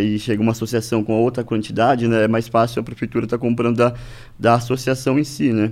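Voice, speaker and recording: Fairly quick speech from a man at a medium pitch. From Brazil, Paraná (Norte Pioneiro, Ibaiti). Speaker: agronomist, farmers' organisation official. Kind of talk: interview. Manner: halting, many fillers and repetitions.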